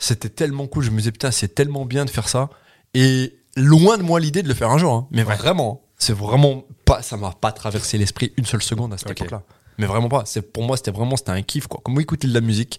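A very fast, somewhat breathy male voice at medium pitch with ordinary pitch variation, on a very clean recording with a silent background. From France, Loire. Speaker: comedian. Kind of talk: casual chat.

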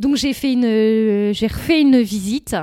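A woman's fairly high pitch with a dark, mellow tone and ordinary pitch variation, at a fairly slow pace, in a dry, close sound with no echo on a very clean recording with a silent background. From northern France, Nord. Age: 30s. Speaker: shop owner. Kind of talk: interview. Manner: hesitant, many fillers.

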